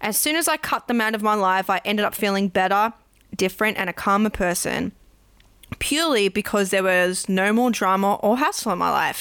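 A woman with an Australian accent talks at a fairly quick pace and a medium pitch, her loudness very even and her pitch variation ordinary. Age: 20s. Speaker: podcast host. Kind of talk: casual interview chat.

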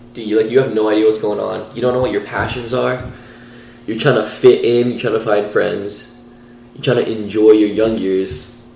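Against noticeable background noise, a man with a fairly low pitch talks at a moderate pace, his intonation fairly even but his loudness swinging widely. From Iran. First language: Persian. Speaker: podcast co-host. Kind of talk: casual chat.

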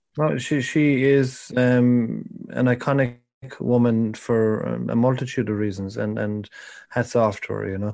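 A man with a Cork accent, medium in pitch, at a fairly slow pace and with fairly even intonation, against a quiet background. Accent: Irish, Cork. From Ireland, Cork. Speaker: podcast guest, film fan. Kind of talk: casual chat.

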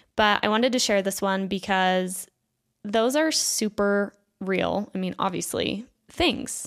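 A woman with an American accent speaks at a fairly slow pace in an animated tone, her medium pitch showing ordinary variation, on a very clean recording with a silent background. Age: 20s. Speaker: podcast host. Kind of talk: reading listener submissions and commentary.

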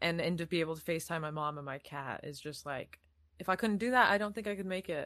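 A woman's fairly low voice with an American accent, at a very fast pace. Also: lively intonation. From Iowa, US. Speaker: actor and casting person. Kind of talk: casual chat. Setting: video call.

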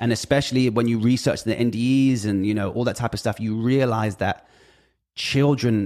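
A man with a British accent speaks at a fairly quick pace and medium pitch, with ordinary pitch variation. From Britain. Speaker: music industry figure. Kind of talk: casual chat. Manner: halting.

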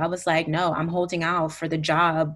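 In an American accent, a woman with a fairly low pitch talks at a moderate pace in an unremarkable speaking voice. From New Jersey / Brooklyn, New York. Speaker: musician and former radio journalist. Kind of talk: casual interview.

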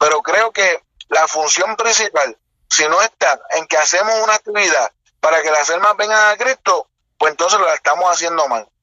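At a moderate pace, a man speaks at a high pitch with lively intonation and very even loudness. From Puerto Rico, north coast. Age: 20s. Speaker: evangelist preacher. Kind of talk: interview conversation.

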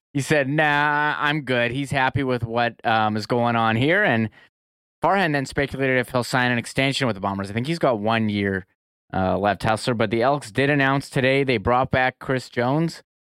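At a moderate pace, a man speaks in a normal speaking voice, medium in pitch with ordinary pitch variation. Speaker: sports podcast co-host. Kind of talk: casual sports talk show. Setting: video call from his home.

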